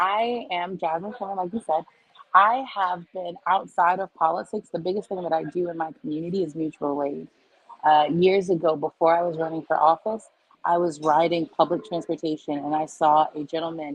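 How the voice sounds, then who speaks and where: At a moderate pace, a woman speaks in a fairly low voice, an ordinary speaking voice, with ordinary pitch variation. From New York City, Queens. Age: 30s. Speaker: presidential candidate. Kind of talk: interview.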